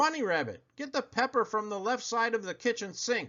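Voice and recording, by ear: A growling, gruff put-on character voice, fairly high in pitch, moves at a fairly quick pace.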